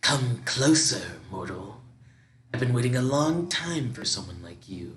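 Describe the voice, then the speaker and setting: Someone whispers in a put-on character voice. The pace is moderate. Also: man. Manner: chilling, whispering, menacing.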